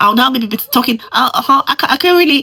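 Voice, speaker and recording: Raised and projected, a woman's high voice with a Nigerian accent rings out with lively intonation in a dry, close sound with no echo. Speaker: immigrant. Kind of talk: casual talk to camera.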